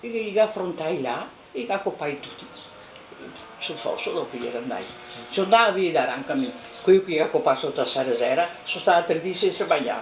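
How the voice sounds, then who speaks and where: With a Venetian accent, a woman of medium pitch talks at a fairly quick pace, with very wide pitch swings, big swings in loudness and long, frequent pauses, amid noticeable background noise. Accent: Venetian dialect of Treviso. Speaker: oral history witness. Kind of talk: oral history interview. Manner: halting.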